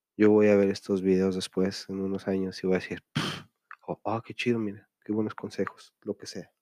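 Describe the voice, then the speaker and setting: A man talks at a moderate pace in a fairly low, monotone voice with flat intonation. His loudness swings widely, and the sound is dry and close with no echo. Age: 30s. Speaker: podcast host. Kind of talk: casual monologue. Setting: at home late at night.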